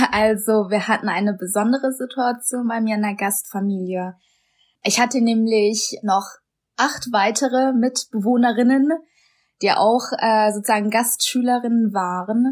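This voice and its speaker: In a very clean recording with a silent background, a woman with a plain, everyday voice and a fairly high pitch speaks at a fairly slow pace with fairly even intonation. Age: 20s. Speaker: host sister. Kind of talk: interview.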